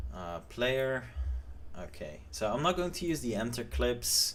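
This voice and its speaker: Audible room echo surrounds a man speaking at a very slow pace with very wide pitch swings. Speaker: game developer streamer. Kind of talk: live stream tutorial. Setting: live stream. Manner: mumbling; hesitant, many fillers.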